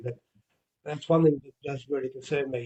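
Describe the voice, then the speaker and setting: A somewhat breathy man talks at a fairly high pitch with an Australian accent. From Australia, Victoria. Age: 60s. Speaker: retired wrestler and wrestling promoter. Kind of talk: interview. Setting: podcast.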